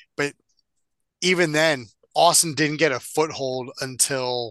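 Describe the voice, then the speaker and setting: Delivered at a fairly slow pace, the speech has long, frequent pauses. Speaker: wrestling podcast co-host. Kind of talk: casual chat.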